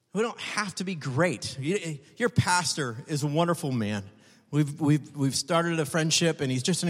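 A man with an unremarkable speaking voice talks at a moderate pace, fairly high in pitch and with ordinary pitch variation. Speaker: guest preacher. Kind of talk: sermon. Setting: church with congregation. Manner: humorous, jokes with audience.

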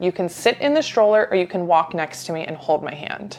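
A woman at medium pitch talks at a fairly quick pace with lively intonation, with noticeable background noise behind her. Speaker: pediatric speech language pathologist. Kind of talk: casual chat.

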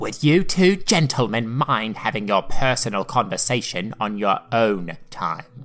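Putting on a character voice, a man speaks at a medium pitch and a fairly slow pace with lively intonation and a hissing sound. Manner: hissing, fake-polite.

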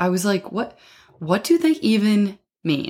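A woman is captured in a very clean recording where the background is silent. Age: 20s. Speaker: podcast host. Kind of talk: casual monologue. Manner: animated.

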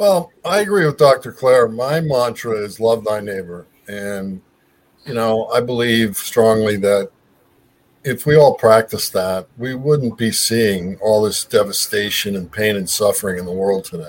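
An ordinary speaking voice comes from a man with an American accent who talks at a fairly slow pace. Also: medium pitch for a man, ordinary pitch variation. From Southern California. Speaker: mental health advocate and podcaster. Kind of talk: casual chat.

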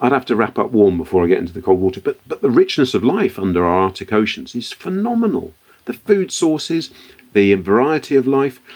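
A man with a British accent, medium pitch, very wide pitch swings and a fairly quick pace. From born in Liberia, West Africa; considers himself British. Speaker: entrepreneur, company founder. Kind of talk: interview.

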